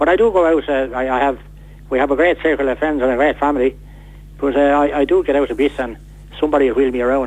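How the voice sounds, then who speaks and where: Against noticeable background noise, a man with an Irish accent talks very fast. His pitch is fairly high and his intonation fairly even. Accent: Irish, Wexford. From Ireland, County Wexford. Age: 60s. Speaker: man living with motor neurone disease. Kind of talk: radio interview. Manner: halting, repeats words.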